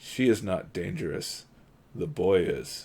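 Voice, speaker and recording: Putting on a raspy character voice, a man speaks at medium pitch and a fairly slow pace with very wide pitch swings. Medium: read story.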